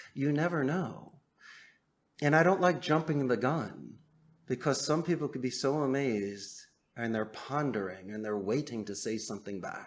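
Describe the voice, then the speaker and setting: In an ordinary speaking voice, a man talks at a moderate pace and a medium pitch with lively intonation. The recording is very clean, with a silent background. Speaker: call center owner. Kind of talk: podcast interview answer.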